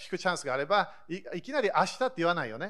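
Lively intonation marks this man's high-pitched voice, delivered at a very fast pace. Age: 40s. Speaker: pastor. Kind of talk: sermon. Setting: church service.

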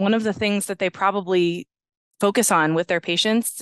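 Speaking fairly quickly with an American accent, a woman uses an ordinary speaking voice at a medium pitch, with fairly even intonation against a quiet background. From western Pennsylvania, US. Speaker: audiologist. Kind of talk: interview conversation.

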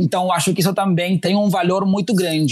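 Amid noticeable background noise, a man with a slight Uruguayan accent talks very fast at a high pitch. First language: Spanish (speaking Portuguese). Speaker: diversity and inclusion manager. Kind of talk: interview. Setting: remote call.

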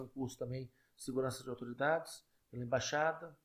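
At a fairly quick pace, a man talks in a fairly high pitch with monotone, flat intonation. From Brasília, Federal District, Brazil. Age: 50s. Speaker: police officer and politician. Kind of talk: interview. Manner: direct.

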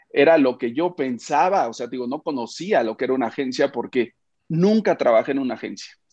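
This man has an unremarkable speaking voice, a fairly high pitch and lively intonation, and he talks at a fairly quick pace. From Mexico, Oaxaca. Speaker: media founder and publisher. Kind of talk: interview.

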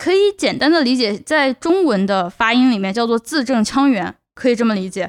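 A woman talks at a high pitch with very wide pitch swings. The background is quiet. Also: dry, close sound with no echo. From China. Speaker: podcast host, PhD student. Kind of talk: solo podcast monologue. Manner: hesitant filler-heavy.

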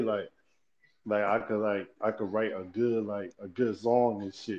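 This man talks at a moderate pace. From New Jersey (Paterson). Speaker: rapper. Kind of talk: casual interview.

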